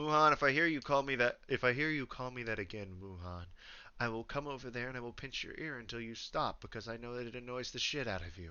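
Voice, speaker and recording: A man uses a put-on character voice, growling at a very fast pace. His pitch is medium, with ordinary pitch variation. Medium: actual play. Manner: brash, teasing.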